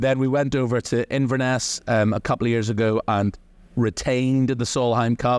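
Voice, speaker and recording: Behind the dry, close sound with no echo, the background is quiet. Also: man. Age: 40s. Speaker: golf reporter. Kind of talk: casual chat.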